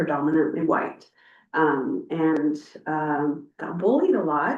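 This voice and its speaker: Spoken very slowly with a Spanish accent, the voice moves through ordinary pitch variation. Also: woman. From Mexico (Ensenada), raised in Sonoma from age eight. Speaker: board clerk. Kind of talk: personal introduction at meeting.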